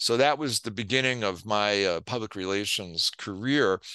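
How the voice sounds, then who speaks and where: Against a quiet background, a man with a bright, sharp tone speaks at a moderate pace with ordinary pitch variation. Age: 70s. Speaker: PR executive and author. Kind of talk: interview.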